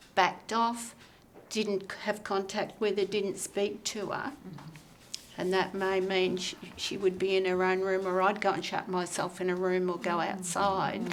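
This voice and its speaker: Her speech is fairly slow, at a medium pitch, with monotone, flat intonation. The woman speaks with an Australian accent. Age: 70s. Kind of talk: group discussion.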